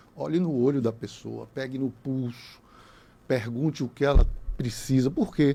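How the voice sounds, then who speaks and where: A man speaks in a dark, mellow tone. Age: 60s. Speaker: lawyer, former bar association president. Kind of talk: podcast interview. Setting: radio studio.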